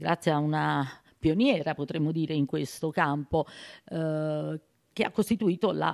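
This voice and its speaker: A woman with a very deep, low pitch, moderate pace, and a quiet background. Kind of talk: interview answer. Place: hall. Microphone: handheld.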